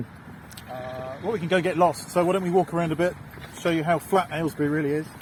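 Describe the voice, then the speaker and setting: Over noticeable background noise, a man speaks very fast at a high pitch in a monotone, flat way. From England. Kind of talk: casual conversation on a walk. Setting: outdoors.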